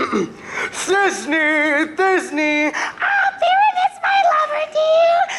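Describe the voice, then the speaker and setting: A put-on character voice, female-sounding and extremely high in pitch, crawls along at a very slow pace. Loud background noise runs underneath. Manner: mock-dramatic.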